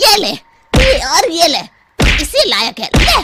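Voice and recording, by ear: A woman puts on a cartoonish character voice, bright and sharp at an extremely high pitch. She speaks at a slow pace with very wide pitch swings.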